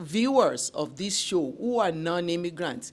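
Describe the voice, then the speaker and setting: The woman has a fairly low pitch and a non-native accent. Her intonation is lively. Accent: foreign. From immigrant to Canada. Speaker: talk show host. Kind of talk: interview.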